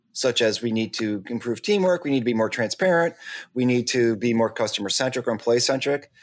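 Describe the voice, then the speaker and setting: A man talks in a normal speaking voice at a medium pitch and a fairly quick pace, with ordinary pitch variation and very even loudness. The recording is very clean, with a silent background. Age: 50s. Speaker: podcast co-host. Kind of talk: casual chat.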